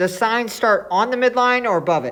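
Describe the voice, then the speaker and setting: A woman talks at a moderate pace. The room echo is audible. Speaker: math teacher. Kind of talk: lecture.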